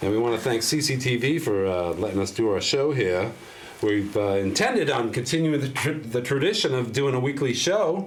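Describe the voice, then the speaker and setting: Over noticeable background noise and audible room echo, a man speaks at a fairly quick pace and a medium pitch. His intonation is lively, and his loudness stays very even. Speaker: public access TV show host. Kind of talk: casual interview chat. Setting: TV studio.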